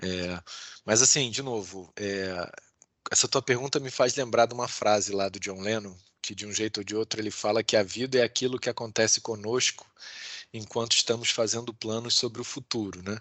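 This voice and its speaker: Speaking in a plain, everyday voice, a man of medium pitch keeps a moderate pace and fairly even intonation, with big swings in loudness. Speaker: law professor and lawyer. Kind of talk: interview.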